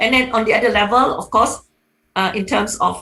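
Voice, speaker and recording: With a bright, sharp tone and vocal fry, a woman talks at a fairly quick pace with fairly even intonation. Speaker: economics professor, panelist. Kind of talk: webinar panel talk. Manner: halting, many fillers.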